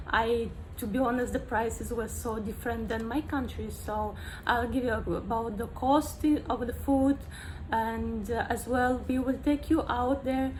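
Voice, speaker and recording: Room echo can be heard around a female voice. She speaks fairly slowly. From Moldova. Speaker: vlogger. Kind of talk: casual vlog talk. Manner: halting, many fillers.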